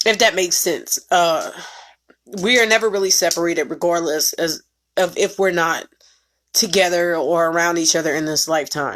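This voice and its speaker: Speaking in an unremarkable speaking voice, a woman keeps a moderate pace and fairly even intonation. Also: fairly low pitch for a woman. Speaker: spiritual reader. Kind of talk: casual monologue.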